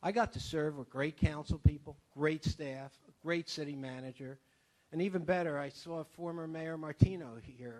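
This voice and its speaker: A man speaks in a normal speaking voice at a fairly high pitch, with ordinary pitch variation. His loudness swings widely. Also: moderate pace. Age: 60s. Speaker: city council member leaving office. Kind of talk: farewell speech at council meeting.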